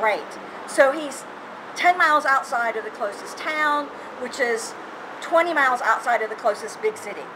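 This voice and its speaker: Speaking at a moderate pace with a slight Southern US accent, a woman with a high voice uses lively intonation and big swings in loudness, pausing long and often over noticeable background noise. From US South, Georgia. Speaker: university lecturer. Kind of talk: interview.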